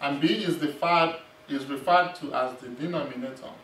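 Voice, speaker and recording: Amid light background noise and audible room echo, a man talks at a moderate pace. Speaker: math instructor. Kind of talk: lecture. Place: classroom.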